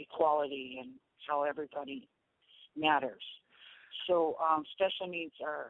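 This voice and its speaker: Very deep and low in pitch, a woman speaks with big swings in loudness and long, frequent pauses. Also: moderate pace. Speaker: drum circle founder and drummer. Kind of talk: interview. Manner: animated.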